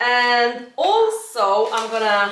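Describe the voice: A woman speaks slowly at a fairly high pitch, her tone fairly bright. Her pitch swings widely, and strong room echo surrounds her.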